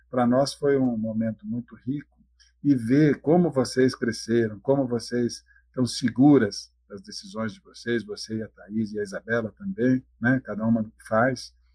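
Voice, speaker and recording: At a moderate pace, a man talks with a dark, mellow tone, medium pitch, ordinary pitch variation and big swings in loudness. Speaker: dairy farm owner. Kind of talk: podcast interview.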